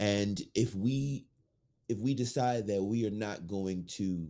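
A man with an American accent, fairly low pitch and ordinary pitch variation. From New Orleans, Louisiana. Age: 30s. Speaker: actor and writer. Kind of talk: casual interview chat.

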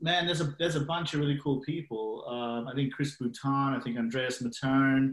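With an Australian accent, a man talks at a moderate pace and medium pitch. His intonation stays fairly even. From Australia (Sydney). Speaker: biotech investor. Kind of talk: casual interview. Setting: video call.

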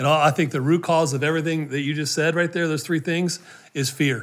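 This man has a plain, everyday voice with a fairly high pitch. His intonation stays fairly even at a moderate pace. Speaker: podcast host. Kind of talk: interview conversation.

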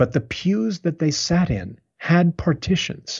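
This man's voice carries a slight airiness. Its pitch shifts by a normal amount. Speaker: playwright. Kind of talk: interview conversation about literature.

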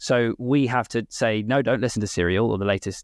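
This man has a British accent and a medium pitch with fairly even intonation. The sound is dry and close, with no echo. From UK. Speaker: podcast agency founder. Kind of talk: casual interview chat.

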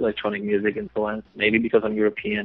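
A man with a Polish accent talks at a very fast pace. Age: 20s. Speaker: adult film performer. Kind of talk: interview. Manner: halting.

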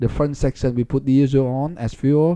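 With a Vietnamese accent, a man speaks in a dark, mellow tone with fairly even intonation against a quiet background. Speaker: politician and physics professor. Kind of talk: interview. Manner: halting.

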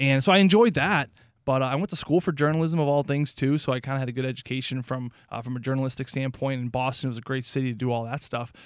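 In a very clean recording with a silent background, a man with an American accent talks at a very fast pace, medium in pitch with ordinary pitch variation. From St. Louis, Missouri. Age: 30s. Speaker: radio hockey analyst, former pro hockey player. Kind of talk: casual chat.

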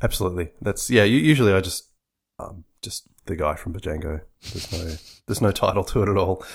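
A man with an Australian accent, fairly low in pitch and somewhat breathy, very fast, with lively intonation and big swings in loudness, on a very clean recording with a silent background. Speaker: software designer. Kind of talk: casual interview. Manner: halting, repeats words.

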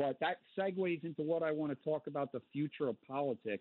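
Speaking fairly quickly with fairly even intonation, a man uses a plain, everyday voice with an American accent. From Connecticut. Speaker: caller. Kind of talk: call-in talk radio. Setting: phone call.

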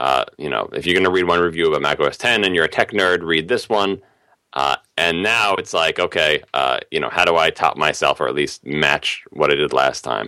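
A man with an American accent speaks at a moderate pace in a very deep, low pitch, with vocal fry and a bright, sharp tone. His pitch varies in an ordinary way, and the recording is very clean with a silent background. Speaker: tech writer. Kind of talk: casual interview.

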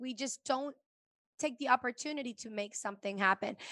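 In a dry, close sound with no echo and a quiet background, a woman uses a raised, projected voice, high-pitched with a bright, sharp tone. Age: 40s. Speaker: podcast host. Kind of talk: casual chat.

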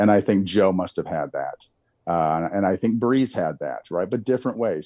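Speaking at a moderate pace, a man with a fairly low pitch uses lively intonation. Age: 40s. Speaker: retired NFL quarterback. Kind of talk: casual interview. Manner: halting, frequent restarts.

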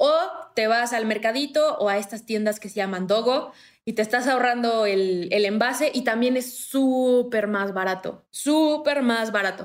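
A woman speaks at a fairly slow pace in an unremarkable speaking voice, fairly high in pitch with ordinary pitch variation. The recording is very clean and the background silent. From Morelos, Mexico. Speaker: zero-waste content creator. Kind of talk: casual chat.

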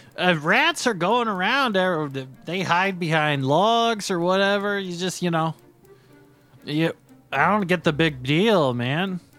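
Faint music plays behind a man doing a put-on character voice. He drawls at a fairly slow pace in a high pitch. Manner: laid-back, drawling, says "man" constantly.

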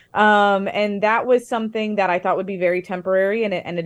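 Against a quiet background, a woman with a medium pitch speaks at a very fast pace, her intonation fairly even. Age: 30s. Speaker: author. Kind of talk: interview.

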